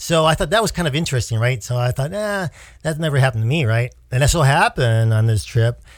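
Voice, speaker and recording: In a very clean recording with a silent background, a somewhat breathy man speaks at a very fast pace with lively intonation. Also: medium pitch for a man. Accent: American. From United States. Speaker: podcast co-host. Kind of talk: casual chat. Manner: halting.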